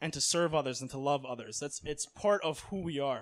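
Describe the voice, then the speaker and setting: A man's fairly high voice at a fairly quick pace, with ordinary pitch variation and an ordinary speaking voice. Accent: American. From US, Miami, Florida. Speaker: missionary. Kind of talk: religious talk; Q&A answer. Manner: casual, filler-heavy.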